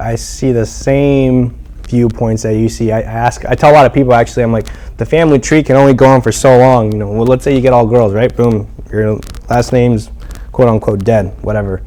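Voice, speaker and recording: A man speaks at a fairly quick pace with medium pitch and fairly even intonation over noticeable background noise. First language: not English. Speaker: podcast host. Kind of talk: casual interview chat.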